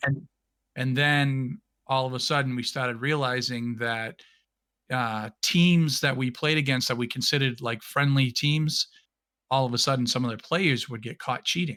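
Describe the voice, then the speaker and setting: Bright and sharp in tone, a man with a New England accent speaks at a medium pitch and moderate pace with fairly even intonation on a very clean recording with a silent background. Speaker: podcast guest, streamer and former competitive gamer. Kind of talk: casual chat. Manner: halting, with frequent restarts.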